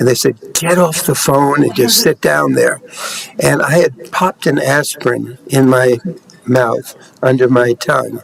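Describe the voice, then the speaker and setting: A man talks at a fairly slow pace with very even loudness. Noticeable background noise sits behind him. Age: 80s+. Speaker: aging advocate, award winner. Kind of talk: personal testimony.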